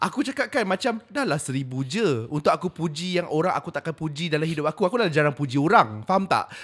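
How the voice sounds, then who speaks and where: Speaking at a very fast pace with hardly any pauses, a man with a fairly high pitch swings very widely in pitch over a very clean recording with a silent background. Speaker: podcast co-host, social media worker. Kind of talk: casual chat.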